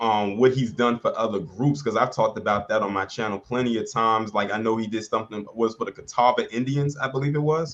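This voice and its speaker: Fairly even intonation and medium pitch mark a man speaking at a very fast pace. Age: 30s. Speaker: YouTube channel host. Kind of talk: casual interview.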